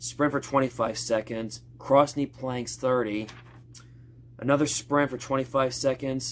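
A man talks at a very slow pace. Light background noise can be heard. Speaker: fitness vlogger. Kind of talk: casual vlog chat. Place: gym. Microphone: phone near.

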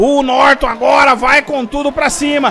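Crowd noise fills the background. A man speaks at an extremely high pitch and a moderate pace. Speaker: sim racing commentator. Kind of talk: live race commentary, call of a virtual motorsport race. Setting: livestream broadcast. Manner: loud, hyped, shouting encouragement at the drivers.

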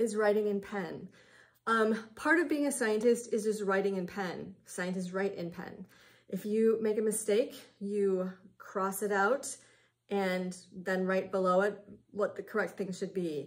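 At a fairly slow pace, a woman talks with a medium pitch. Her pitch variation is ordinary. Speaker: science teacher. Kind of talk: classroom instruction. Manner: sarcastic. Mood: lighthearted but firm. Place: classroom. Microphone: webcam.

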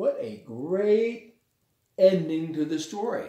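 A man's slow, high-pitched speech with a dark, mellow tone, vocal fry and lively intonation

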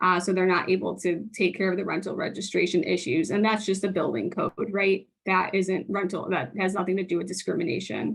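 A woman's medium-pitched voice with vocal fry, a fairly quick pace, hardly any pauses, very even loudness and ordinary pitch variation. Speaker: housing case manager giving public testimony. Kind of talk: public testimony. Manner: very fast.

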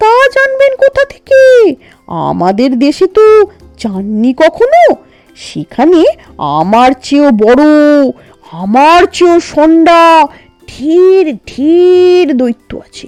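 Over faint music in the background, a woman uses a put-on character voice at a very slow pace. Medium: read story. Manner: unhurried, casual.

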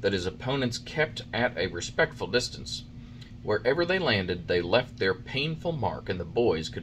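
The text is being read aloud in a natural voice.

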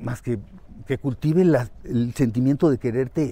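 Somewhat breathy, the man speaks at a fairly slow pace. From Mexico City. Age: 60s. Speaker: teacher. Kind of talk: casual interview. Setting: outdoors, walking.

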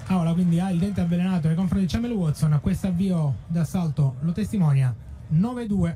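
At a fairly quick pace, a man speaks in a high pitch with ordinary pitch variation and very even loudness, over noticeable background noise. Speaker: fencing commentator. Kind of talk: live sports commentary. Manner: fast, rattling off scores in a steady flow; excited, with a tone that rises at key touches.

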